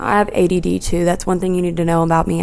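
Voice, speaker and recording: Soft-spoken and fairly low-pitched, a woman talks at a very fast pace. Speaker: podcast host. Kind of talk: casual chat. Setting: at home in apartment. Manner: quiet, soft-spoken.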